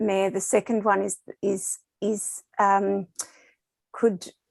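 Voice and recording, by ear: A woman's slow, slightly mellow voice at a medium pitch, with vocal fry, little pitch movement and a dry, close sound with no echo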